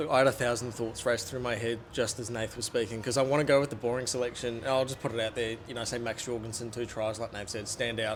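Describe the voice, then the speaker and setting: This man speaks very fast in a New Zealand accent, barely pausing at all. His medium-pitched delivery is monotone and flat. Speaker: rugby journalist. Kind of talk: casual chat. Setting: stadium media box. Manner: soft-spoken. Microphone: small handheld mic, held far.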